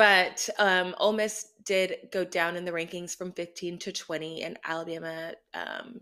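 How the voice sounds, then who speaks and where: Speaking with an American accent, a woman has a fairly low pitch, a bright, sharp tone and fairly even intonation at a fairly slow pace. The recording is very clean, with a silent background. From Austin, Texas. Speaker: podcast host. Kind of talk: casual chat.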